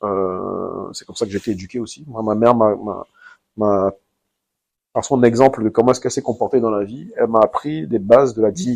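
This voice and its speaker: Big swings in loudness mark a man talking at a fairly quick pace. His pitch is medium, with ordinary variation. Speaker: entrepreneur. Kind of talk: interview. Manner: hesitant.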